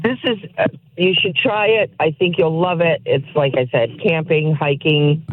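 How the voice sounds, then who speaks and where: A woman with a Connecticut accent and a fairly low voice, enthusiastic in tone with lively intonation and very even loudness at a fairly slow pace, over noticeable background noise. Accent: Connecticut, southern New England. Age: 60s. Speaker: caller. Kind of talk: radio call-in.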